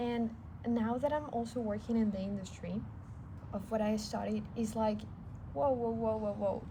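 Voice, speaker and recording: With a non-native accent, the speaker goes at a moderate pace, pausing long and often, while audible room echo surrounds the voice. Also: woman. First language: not English. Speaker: vlogger. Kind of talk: personal vlog.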